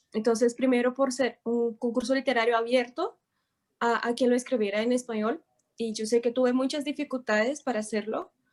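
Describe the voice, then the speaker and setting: Speaking at a fairly quick pace with fairly even intonation, a woman with a Portuguese accent has a high voice. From Brazil. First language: Portuguese (speaking Spanish). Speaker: writer, contest winner. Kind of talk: acceptance remarks on a broadcast.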